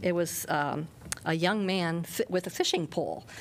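This woman has a normal speaking voice. Her pitch is fairly low and her intonation fairly even. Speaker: city council member. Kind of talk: council discussion. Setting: city council chamber.

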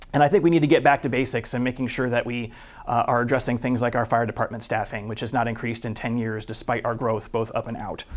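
This man speaks with a Midwestern American accent at a medium pitch. His pace is fairly quick. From Iowa, US Midwest. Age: 40s. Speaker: city council candidate. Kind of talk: campaign statement. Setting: studio.

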